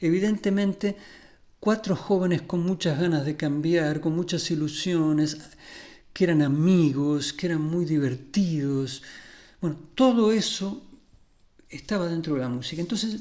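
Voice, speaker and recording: On a very clean recording with a silent background, a man with high pitch and a dark, mellow tone speaks at a fairly slow pace with long, frequent pauses. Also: ordinary pitch variation. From Argentina, Buenos Aires area (Ramos Mejía). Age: 60s. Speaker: music therapist and musician. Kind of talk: conference talk.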